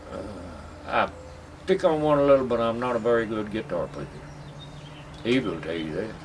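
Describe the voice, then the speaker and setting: Over noticeable background noise, a man with a Southern Appalachian accent talks at a fairly quick pace in a medium pitch, with very wide pitch swings and long, frequent pauses. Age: 70s. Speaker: buck dancer. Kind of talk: interview.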